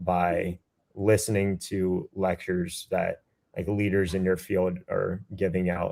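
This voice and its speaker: A very deep, low-pitched man with a dark, mellow tone, very slow and monotone, with flat intonation and a dry, close sound with no echo. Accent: American. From US South, Georgia. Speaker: military officer and recent graduate. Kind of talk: webinar interview.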